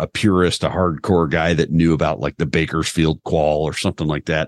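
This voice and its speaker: A man with a very deep, low pitch, at a fairly quick pace with hardly any pauses, in a dry, close sound with no echo. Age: 40s. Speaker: firearms instructor. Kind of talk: casual chat.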